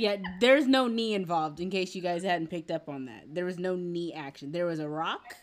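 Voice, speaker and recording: Lively intonation and a fairly quick pace mark this woman's fairly low voice, in an American accent. It is an ordinary speaking voice. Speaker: podcast host. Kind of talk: casual interview chat. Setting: video call.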